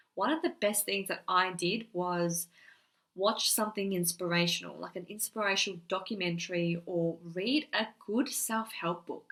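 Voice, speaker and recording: A woman's medium-pitched, bright, sharp voice at a fairly slow pace, with ordinary pitch variation. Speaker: wellness vlogger. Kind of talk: casual talk to camera. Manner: stutter, hesitant.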